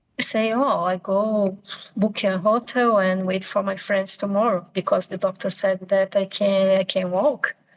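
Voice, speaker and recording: A woman with a Portuguese accent, medium pitch, fairly even intonation and a fairly slow pace. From Brazil. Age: 50s. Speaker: pilgrim sharing travel story. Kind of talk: interview storytelling. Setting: video call. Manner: halting, self-correcting.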